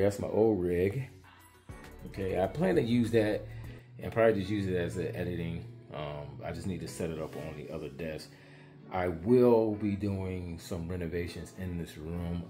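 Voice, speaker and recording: Moderate pace, ordinary pitch variation and big swings in loudness, with faint music in the background. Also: man. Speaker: gaming content creator. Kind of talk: casual vlog chat. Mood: relaxed, self-deprecating. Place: home room. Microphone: phone near.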